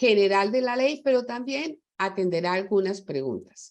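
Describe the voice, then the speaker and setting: The woman's voice is medium in pitch, and she talks at a fairly slow pace. The background is quiet. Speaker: webinar moderator. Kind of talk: panel webinar introduction.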